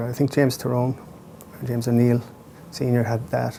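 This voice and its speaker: Here a man talks at a fairly quick pace with an Irish accent. His medium pitch stays monotone and flat. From Ireland. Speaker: playwright. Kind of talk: interview. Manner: thoughtful with frequent hesitations.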